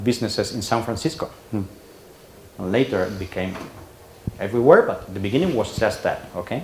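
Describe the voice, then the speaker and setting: A man with a medium-pitched voice and a Spanish accent speaks over noticeable background noise. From Spain. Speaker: conference speaker. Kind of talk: presentation. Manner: halting.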